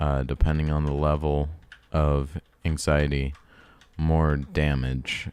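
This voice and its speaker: A man's very deep, low voice, monotone and flat, at a very slow pace. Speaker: game developer. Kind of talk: tutorial. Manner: halting.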